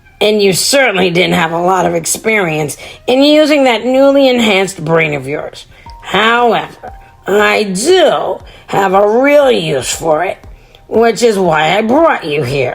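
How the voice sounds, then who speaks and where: A woman does a put-on character voice at a medium pitch. She goes at a fairly slow pace with faint music in the background. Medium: read story. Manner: cheerful, calm.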